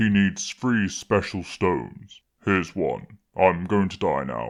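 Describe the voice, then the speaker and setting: A man in a put-on character voice, very deep and low in pitch, deadpan in tone, at a fairly slow pace. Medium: machinima.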